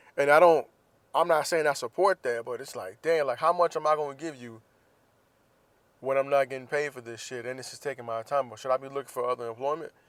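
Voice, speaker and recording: A man talks at a very fast pace, the sound dry and close with no echo. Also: big swings in loudness. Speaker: podcast host. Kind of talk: casual monologue. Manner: stutter.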